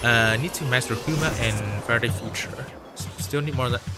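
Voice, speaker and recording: Fairly quick, lively speech from a man at medium pitch, with music in the background. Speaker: gaming streamer. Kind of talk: live gaming stream chat. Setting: home livestream on laptop. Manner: casual, filler-heavy.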